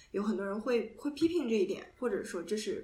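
A woman speaks at a moderate pace with a fairly high pitch and lively intonation. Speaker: podcast co-host, graduate. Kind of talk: casual chat. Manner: halting, many fillers.

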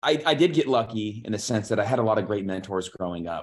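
Against a quiet background, a man with a fairly low pitch and ordinary pitch variation speaks in a normal speaking voice. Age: 30s. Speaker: fund manager, former airline pilot. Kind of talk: interview. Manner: repeats words, fast run-on speech.

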